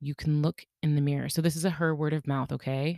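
A woman speaks at a fairly quick pace in a very deep, low pitch with a dark, mellow tone. The recording is very clean and dry, close with no echo, over a silent background. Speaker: podcast host. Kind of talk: solo monologue podcast. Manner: fast when excited; casual, laughs often.

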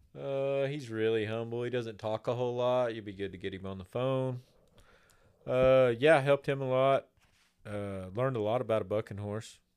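A man talks at a medium pitch with ordinary pitch variation and big swings in loudness. The recording is very clean, with a silent background. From Oklahoma, raised partly in Texas. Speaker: cowboy and silversmith. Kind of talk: casual chat.

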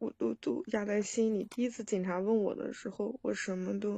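A moderate pace in a dry, close sound with no echo. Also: woman. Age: 30s. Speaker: caller. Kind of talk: phone-in advice call. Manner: halting.

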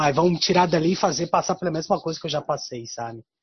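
A man speaks at a fairly quick pace and a high pitch. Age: 40s. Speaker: guest talking about his zodiac sign. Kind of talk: casual chat. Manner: halting.

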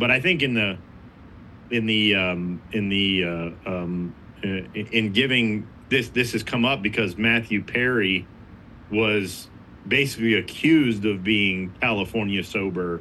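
A man speaks at a fairly low pitch. His pace is fairly slow, with ordinary pitch variation. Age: 40s. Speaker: addiction ministry leader. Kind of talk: casual chat. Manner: halting, many repeated words.

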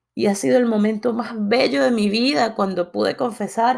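A woman with a plain, everyday voice, fairly high in pitch and fairly slow, on a very clean recording with a silent background. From Latin America. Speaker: podcast host. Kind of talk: motivational monologue.

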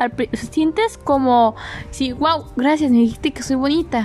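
A woman at a moderate pace with ordinary pitch variation, against noticeable background noise. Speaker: podcast host. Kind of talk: casual solo monologue. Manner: animated.

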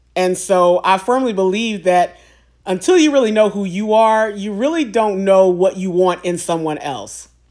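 An unremarkable speaking voice from a woman, medium-pitched, with ordinary pitch variation and a moderate pace. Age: 40s. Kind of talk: solo monologue on faith and singleness. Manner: conversational, with fillers and repetitions.

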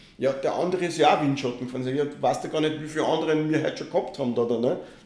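A man with a fairly high voice talks very fast and with fairly even intonation. The recording has audible room echo and noticeable background noise. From Austria, Linz. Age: 50s. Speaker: triathlon federation president. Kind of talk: podcast interview.

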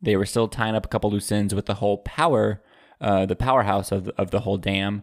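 A man with a normal speaking voice talks at a fairly quick pace in a fairly low pitch, with fairly even intonation and very even loudness. The sound is dry and close with no echo, on a very clean recording with a silent background. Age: young. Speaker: trivia podcast co-host. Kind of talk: casual chat.

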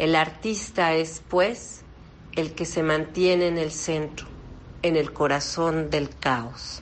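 A woman's fairly low, fry-tinged voice at a very slow pace, fairly even in intonation, with audible room echo. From Mexico. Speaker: opera singer and voice teacher. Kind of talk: interview. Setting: phone call.

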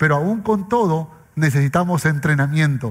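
The man's intonation is lively even as he talks at a fairly slow pace. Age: 40s. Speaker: pastor. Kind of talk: sermon.

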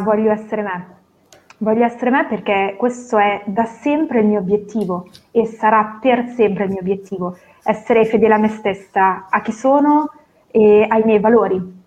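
A woman in an unremarkable speaking voice, fairly high in pitch, with ordinary pitch variation at a moderate pace. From northern Italy, Novara. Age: 30s. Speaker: professional coach. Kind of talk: interview. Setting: video call.

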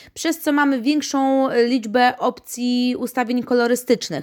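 A woman speaks fairly slowly in an ordinary speaking voice, her pitch fairly high. The recording is very clean, with a silent background. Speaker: podcast host and pet shop owner. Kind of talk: casual product review monologue.

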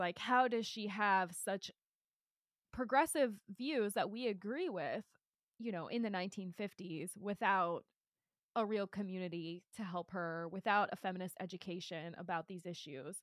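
A woman with an unremarkable speaking voice talks at a moderate pace and medium pitch, with ordinary pitch variation. Her loudness swings widely, and the sound is dry and close with no echo. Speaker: podcast co-host. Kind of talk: casual chat about a book.

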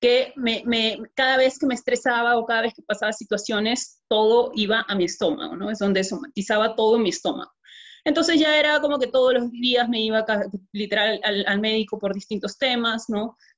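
With an ordinary speaking voice, a woman talks at a fairly quick pace using ordinary pitch variation. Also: fairly high pitch for a woman. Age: 20s. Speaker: network marketing distributor. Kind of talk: testimony.

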